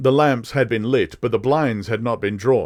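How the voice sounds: This natural reading voice shows ordinary pitch variation.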